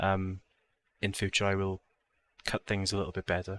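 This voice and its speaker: A man with a South Wales accent speaks at a moderate pace and a fairly low pitch. The sound is dry and close with no echo, in a very clean recording with a silent background. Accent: Welsh (South Wales). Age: 20s. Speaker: gaming YouTuber. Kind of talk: casual vlog talk to camera. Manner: casual, with many fillers (um, uh).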